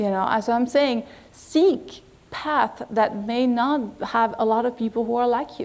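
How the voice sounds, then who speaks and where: A woman speaks with a French accent at a high pitch, using ordinary pitch variation. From France. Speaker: agency executive. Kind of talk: lecture.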